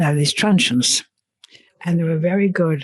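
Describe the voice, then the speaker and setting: A woman is speaking with an English accent. Her pitch sits fairly low. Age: 80s+. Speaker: elderly civilian interviewee. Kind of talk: casual interview.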